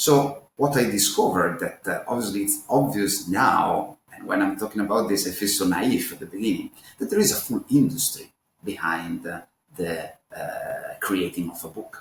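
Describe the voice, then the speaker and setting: Big swings in loudness mark this man's speech. He has an Italian accent and a moderate pace. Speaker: author and researcher. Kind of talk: interview. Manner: halting, many fillers and repeats.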